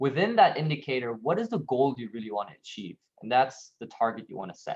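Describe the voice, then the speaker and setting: A man of medium pitch at a very fast pace, with big swings in loudness. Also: lively intonation. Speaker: workshop trainer. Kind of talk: online workshop presentation.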